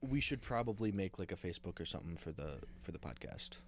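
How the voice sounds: Speaking fast, a man with a low pitch uses lively intonation.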